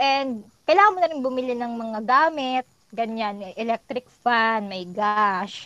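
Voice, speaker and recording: Fairly slow speech from a woman with a fairly high pitch and ordinary pitch variation. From Philippines, Laguna province. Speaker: podcast guest, office worker. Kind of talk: casual chat. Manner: animated.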